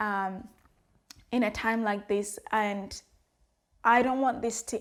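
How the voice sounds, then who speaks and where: With an African accent, a woman speaks at a fairly slow pace in a fairly high, monotone, flat voice, recorded very cleanly against a silent background. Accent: African accent, worked to adapt it. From Africa, former British colony. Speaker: vlogger. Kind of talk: personal vlog monologue. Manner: earnest, conversational with fillers.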